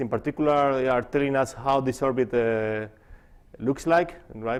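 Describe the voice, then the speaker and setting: A man with a non-native accent at a moderate pace, ordinary pitch variation and a quiet background. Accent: foreign. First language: not English. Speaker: physicist. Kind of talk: conference talk. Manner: halting, many fillers.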